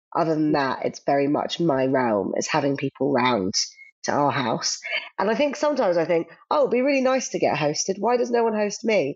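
Speaking at a fairly quick pace, a woman uses a fairly low voice with very wide pitch swings and very even loudness. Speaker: recipe developer. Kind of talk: casual interview chat.

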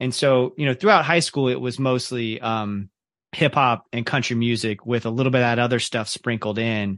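A man with an American accent and a normal speaking voice, medium in pitch, with fairly even intonation, a moderate pace and a quiet background. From Central Florida (Ocala), Kentucky family. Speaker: teacher, podcaster and music journalist. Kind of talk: casual interview conversation.

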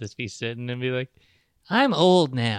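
A plain, everyday voice from a man, moderate in pace with ordinary pitch variation, dry and close with no echo over a quiet background. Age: 40s. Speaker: podcast host. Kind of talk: casual chat. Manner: joking, bantering.

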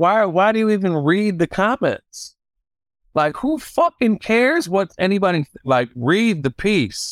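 Recorded very cleanly with a silent background and a dry, close sound with no echo, a man with a Detroit accent and high pitch speaks at a fairly slow pace with very even loudness and very wide pitch swings. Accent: Detroit American English. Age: 40s. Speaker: DJ and record store buyer. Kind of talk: interview. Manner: animated.

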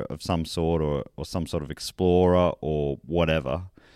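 A man is speaking. He has an Australian accent. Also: very clean recording, silent background. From country Victoria, Australia. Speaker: comedian and beer presenter. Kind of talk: casual interview chat.

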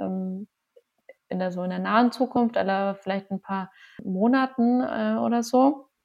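With a plain, everyday voice at medium pitch, a woman speaks at a fairly slow pace. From Lower Bavaria, Passau. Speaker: physician and cancer researcher, yoga teacher. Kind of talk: casual interview.

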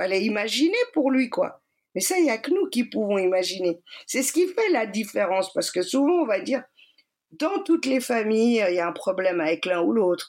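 A woman speaks at a moderate pace with a fairly high pitch and very wide pitch swings. Her loudness stays very even throughout. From Switzerland, Geneva. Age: 40s. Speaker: energy healer and shaman. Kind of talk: personal testimony. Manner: hesitant with many fillers.

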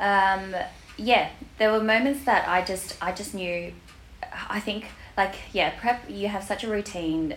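Noticeable background noise behind a woman with an Australian accent. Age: 30s. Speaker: bikini fitness competitor. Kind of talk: casual interview chat.

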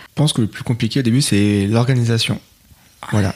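A man with ordinary pitch variation. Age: 30s. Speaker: IT technical coordinator and father. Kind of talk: casual interview. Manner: hesitant.

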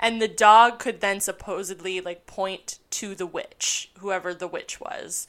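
A woman's normal speaking voice at a fairly slow pace, with fairly even intonation and big swings in loudness. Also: medium pitch for a woman, hardly any pauses. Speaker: history podcaster. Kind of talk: casual conversation with history storytelling.

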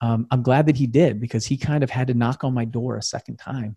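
With a dark, mellow tone, a somewhat breathy man of medium pitch speaks at a very fast pace in a very clean recording with a silent background and a dry, close sound with no echo. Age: 40s. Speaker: real estate investor and podcast host. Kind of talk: motivational talk on a livestream. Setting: Facebook live video.

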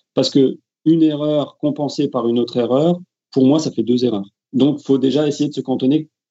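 Here a man with a normal speaking voice and fairly high pitch talks at a moderate pace with fairly even intonation. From France. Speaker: football referee. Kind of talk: interview.

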